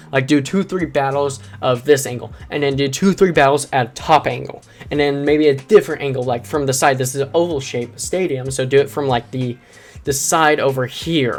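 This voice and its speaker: An energetic, fairly quick delivery over music in the background. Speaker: YouTuber reviewing a channel. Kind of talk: video critique commentary. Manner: energetic, emphatic.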